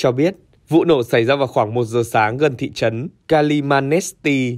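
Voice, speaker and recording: Ordinary pitch variation marks the medium-pitched, moderately paced delivery of a man with a normal speaking voice. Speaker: news presenter. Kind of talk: news reading. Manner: formal.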